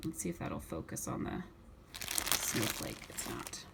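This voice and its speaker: A woman's voice over noticeable background noise. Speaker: YouTuber reviewing wax melts. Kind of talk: haul video. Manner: fast; stumbling over words.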